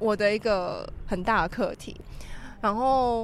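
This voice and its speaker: The speaker is a woman. Lively intonation runs through her speech. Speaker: podcast co-host. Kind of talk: casual chat. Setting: windy rooftop balcony.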